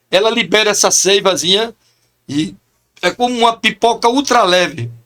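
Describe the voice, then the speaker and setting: A man speaks in a raised, projected voice with an animated, bright and sharp tone, high pitch, ordinary pitch variation, very even loudness and a moderate pace. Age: 60s. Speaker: chaplain. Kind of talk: podcast interview.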